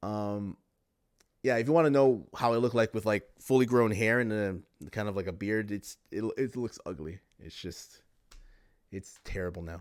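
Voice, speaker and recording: A normal speaking voice from a man with a Canadian accent, fairly low in pitch, with ordinary pitch variation, moderate pace and big swings in loudness. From Canada. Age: 30s. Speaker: podcast host and live streamer. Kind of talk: casual livestream podcast monologue reading chat. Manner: repetitive, conversational.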